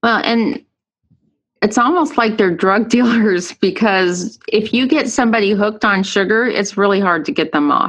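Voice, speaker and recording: An unremarkable speaking voice goes at a moderate pace with lively intonation. Its loudness holds very even throughout. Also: woman, fairly high pitch for a woman. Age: 40s. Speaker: podcast host and endurance coach. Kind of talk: casual interview.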